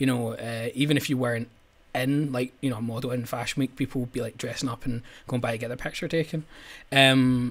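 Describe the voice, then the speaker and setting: Keeping his intonation fairly even, a man talks at a moderate pace. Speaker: guest. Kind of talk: interview answer. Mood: relaxed anecdotal storytelling. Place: home room.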